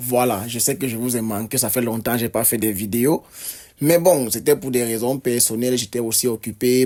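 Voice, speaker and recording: A man's dark, mellow voice at medium pitch holds a fairly even intonation. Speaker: football youtuber. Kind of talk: match debrief vlog. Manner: hesitant, many fillers and repetitions.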